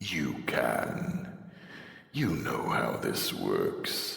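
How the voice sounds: Using a put-on character voice, a man sounds raspy, with a slight echo.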